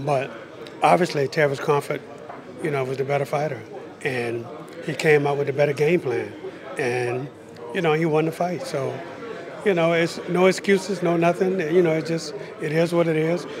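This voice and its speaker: With an American accent, a man at a fairly high pitch speaks at a moderate pace with ordinary pitch variation and long, frequent pauses, over noticeable background noise. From United States. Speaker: boxing trainer. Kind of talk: interview. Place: hall. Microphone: handheld.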